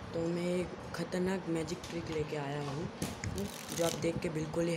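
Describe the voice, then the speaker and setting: A man talks fairly slowly while loud background noise plays. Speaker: magic tutorial host. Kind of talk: casual card trick tutorial to camera. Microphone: phone near.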